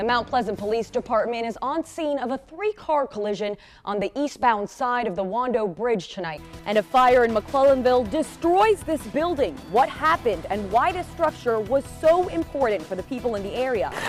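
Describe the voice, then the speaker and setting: Music plays in the background as a woman speaks at a moderate pace. Her high-pitched voice swings very widely in pitch. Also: hardly any pauses. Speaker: TV news reporter and anchor. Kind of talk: TV news anchor read.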